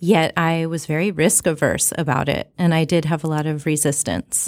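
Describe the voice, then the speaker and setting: An ordinary speaking voice from a woman, fairly low in pitch, at a moderate pace, on a very clean recording with a silent background. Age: 30s. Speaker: health coach. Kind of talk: interview conversation.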